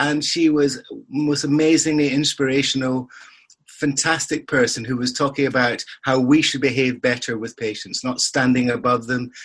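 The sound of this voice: This voice has a fairly bright tone and a slightly husky edge, with fairly even intonation. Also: man, medium pitch for a man, moderate pace.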